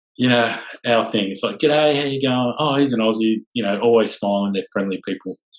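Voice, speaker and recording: A man with an Australian accent, medium in pitch with ordinary variation, at a moderate pace. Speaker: sailing tour company owner. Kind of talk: podcast interview. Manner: casual, filler-heavy.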